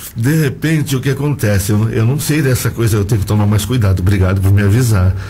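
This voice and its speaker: Audible room echo and noticeable background noise surround a man talking very fast. His loudness stays very even, with ordinary pitch variation. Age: 60s. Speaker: choir singer and teacher. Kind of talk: radio interview. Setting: radio studio.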